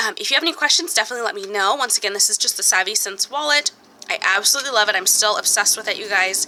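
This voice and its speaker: Over noticeable background noise, a woman talks at a very fast pace with a fairly high pitch and lively intonation. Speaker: budgeting vlogger. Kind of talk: casual vlog tutorial.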